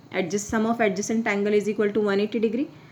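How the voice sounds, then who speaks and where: Amid noticeable background noise, a woman talks at a very fast pace in a fairly high pitch. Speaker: maths teacher. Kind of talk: lecture.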